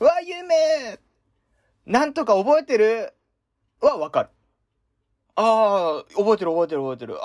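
Recorded with a dry, close sound and no echo, a man speaks at a high pitch with very wide pitch swings. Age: 20s. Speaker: university student radio host. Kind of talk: casual chat. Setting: remote from home.

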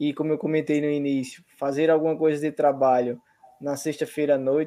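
A man speaks in a plain, everyday voice. His pace is moderate. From Brazil, Paraíba. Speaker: university professor. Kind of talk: online event hosting.

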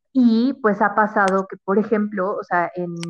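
A woman of medium pitch speaks at a very slow pace with fairly even intonation. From Mexico City. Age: 20s. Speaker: marketing professional. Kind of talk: casual interview. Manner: halting, many fillers.

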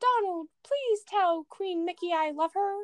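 Her put-on character voice sits at an extremely high pitch. The woman's pace is fairly slow.

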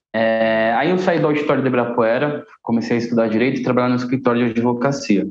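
Music plays in the background as a man speaks very fast with hardly any pauses, very even loudness, and ordinary pitch variation. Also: medium pitch for a man. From Guarulhos, São Paulo, Brazil. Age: 20s. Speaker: saxophonist and cultural manager. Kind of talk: podcast interview.

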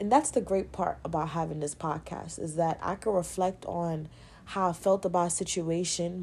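A woman in a New York accent speaks with a fairly low pitch, ordinary pitch variation and a dark, mellow tone. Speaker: podcast host. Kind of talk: casual monologue.

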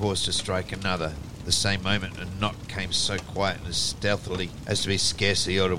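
The clip features an unforced reading voice.

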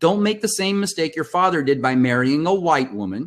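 A man with a Californian accent, high pitch and lively intonation. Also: very clean recording, silent background. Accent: Californian American English. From Compton, California. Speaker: communications consultant and coach. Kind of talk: interview.

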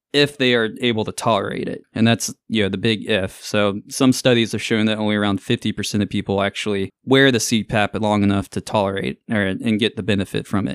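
With a Southern US accent, a man speaks at a fairly quick pace with hardly any pauses, a fairly low pitch and fairly even intonation. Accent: Southern American. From US South, Augusta, Georgia. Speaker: ENT surgeon. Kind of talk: interview. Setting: studio.

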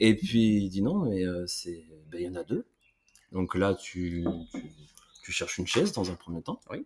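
A man talks at a fairly slow pace, with long pauses coming often. The sound is dry and close, with no echo. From France, Limoges area. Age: 30s. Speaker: army veteran. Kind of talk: casual chat.

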